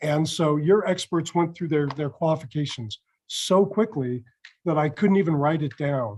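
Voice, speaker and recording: This is a plain, everyday voice, a man's, fairly high in pitch, with ordinary pitch variation and a moderate pace. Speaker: mock trial judge. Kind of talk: spoken feedback.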